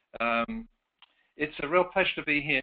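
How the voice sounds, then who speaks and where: At a moderate pace, a man with a fairly high pitch speaks with an English accent. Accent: English accent noticeable, joked about. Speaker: author and career consultant, presenter. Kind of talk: webinar presentation.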